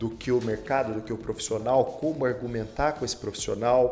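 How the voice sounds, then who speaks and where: With music in the background, a man of medium pitch speaks at a moderate pace. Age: 40s. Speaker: beauty academy executive. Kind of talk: interview. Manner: hesitant fillers.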